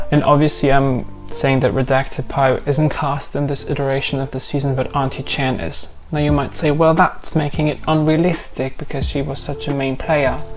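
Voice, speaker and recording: A woman with a non-native accent speaks at a moderate pace in a very deep, low voice, with audible room echo and noticeable background noise. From Europe. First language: not English. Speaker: YouTube commentator. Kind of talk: casual commentary video. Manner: animated.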